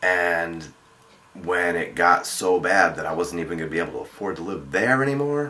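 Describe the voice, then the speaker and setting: A man with an American accent speaks at a moderate pace in a very deep, low voice with lively intonation. Noticeable background noise runs underneath. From New York area, about fifty miles north of the city. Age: 40s. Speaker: vlogger. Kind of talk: vlog video response. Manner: halting, many fillers and restarts.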